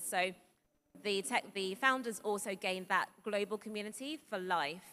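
Her tone bright and sharp, a woman speaks at medium pitch with ordinary pitch variation against light background noise. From grew up outside Nigeria, Nigerian heritage. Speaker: accelerator managing director. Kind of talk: panel discussion. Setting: stage with audience. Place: stage. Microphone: handheld.

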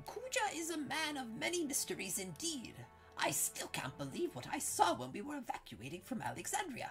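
A man performs a put-on character voice. Clear music plays in the background. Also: moderate pace. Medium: game stream. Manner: rueful, earnest.

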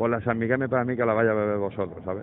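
The voice belongs to a man. The sound is dry with no echo, over light background noise. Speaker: caller. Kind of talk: complaint phone call. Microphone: phone line.

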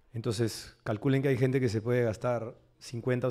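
A plain, everyday voice at a moderate pace, with fairly even intonation, in a very clean recording over a silent background. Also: man. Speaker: psychoanalyst and writer. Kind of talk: panel discussion.

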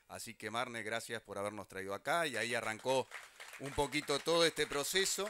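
A man speaks at a medium pitch with lively intonation. The sound is dry with no echo, but there is noticeable background noise. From Uruguay. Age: 50s. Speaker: government minister. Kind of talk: public speech. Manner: halting, repeats words. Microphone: handheld.

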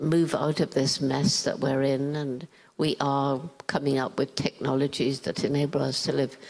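In a southern English accent, a woman speaks with a very deep, low pitch and a monotone, flat intonation. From England, London. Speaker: primatologist. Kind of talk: interview answer. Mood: calm, earnest, concerned. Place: stage. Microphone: handheld.

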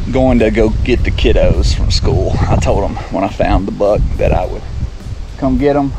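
Over clear background noise, a man speaks at a fairly low pitch and a fairly slow pace, with lively intonation and long, frequent pauses.

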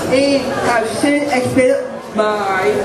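Through loud background noise, a man speaks at a very slow pace. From Newton, Massachusetts. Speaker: photographer and self-advocate. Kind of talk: prepared speech to a live audience. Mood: proud, earnest. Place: stage. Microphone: podium.

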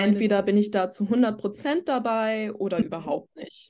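Against a quiet background, the voice has a dark, mellow tone and fairly even intonation. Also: woman. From Germany, Würzburg area; Germany. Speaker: podcast guest. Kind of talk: casual chat. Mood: relaxed, reflective. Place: home room. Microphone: video call.

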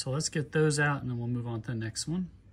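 Pitch variation in the voice is ordinary. There is noticeable background noise. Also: man. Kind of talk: tutorial. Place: street. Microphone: phone near.

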